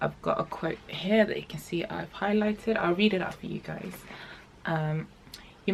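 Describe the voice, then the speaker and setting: The woman's voice sounds somewhat breathy. She keeps to a moderate pace. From The Gambia. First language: not English. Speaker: vlogger. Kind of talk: casual chat vlog; reading aloud. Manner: hesitant, many fillers.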